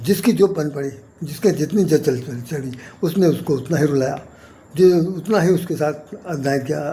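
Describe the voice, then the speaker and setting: With long, frequent pauses and big swings in loudness, the speaker uses ordinary pitch variation over noticeable background noise. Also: man. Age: 70s. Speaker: poet and spiritual commentator. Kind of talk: spiritual talk to camera. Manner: repetitive, halting.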